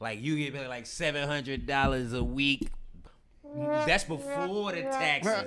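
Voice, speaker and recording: With music in the background and audible room echo, a man speaks fairly slowly at a fairly high pitch. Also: ordinary pitch variation. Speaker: actor. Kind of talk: casual chat. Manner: loud and clear.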